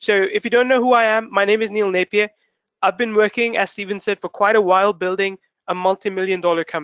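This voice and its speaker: A high-pitched man at a very fast pace, with fairly even intonation. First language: not English. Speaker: webinar host, online marketer. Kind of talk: webinar presentation. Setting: live webinar broadcast. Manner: rambling, constructs sentences as he goes.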